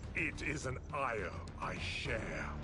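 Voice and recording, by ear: Over loud background noise, a man performs a cartoonish character voice.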